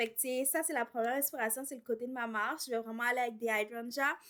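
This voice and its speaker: A woman with a high pitch and a bright, sharp tone speaks with fairly even intonation. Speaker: home renovation vlogger. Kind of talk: casual vlog talk. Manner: casual, with filler words and English code-switching.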